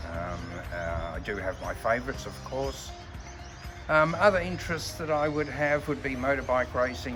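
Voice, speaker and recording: A man with an Australian accent at a moderate pace, with very wide pitch swings, audible room echo and noticeable background noise. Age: 60s. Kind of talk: testimonial interview. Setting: outdoors in a park. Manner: hesitant, with frequent fillers.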